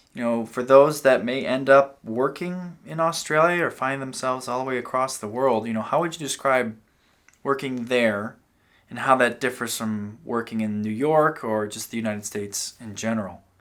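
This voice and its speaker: With an unremarkable speaking voice, a man talks at a moderate pace and medium pitch with ordinary pitch variation and big swings in loudness, on a very clean recording with a silent background. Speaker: podcast host. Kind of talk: interview questions.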